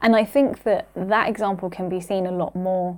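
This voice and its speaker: In a normal speaking voice, a woman of medium pitch talks with fairly even intonation. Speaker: podcast host. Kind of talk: casual podcast chat.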